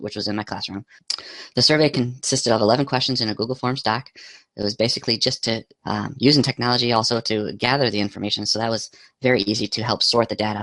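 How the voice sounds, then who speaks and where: At a very fast pace, a man with a medium pitch and a bright, sharp tone speaks with fairly even intonation, the sound dry and close with no echo. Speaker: teacher and graduate student. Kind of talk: academic presentation narration.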